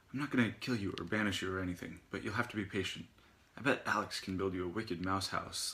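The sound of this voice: The recording features an unforced reading voice.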